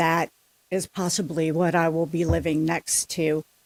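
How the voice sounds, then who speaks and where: A woman speaks at a moderate pace in a plain, everyday voice, pitched fairly low. The recording is very clean and dry, close-miked with no echo and a silent background. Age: 60s. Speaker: resident speaking at public comment. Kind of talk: public comment at city council meeting. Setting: city council chamber.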